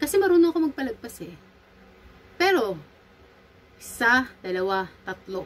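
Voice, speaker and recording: Very wide pitch swings run through a woman's speech. She talks at a fairly slow pace. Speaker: vlogger and medical esthetician. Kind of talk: commentary vlog. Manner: loud.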